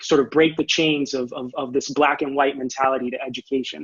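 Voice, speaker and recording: Flat and monotone, a man with a Spanish accent speaks at a moderate pace in a fairly high pitch. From Orlando, Florida (born in Puerto Rico). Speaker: education presenter, academic. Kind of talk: conference presentation. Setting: online video presentation with screen share. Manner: halting, many repetitions and fillers.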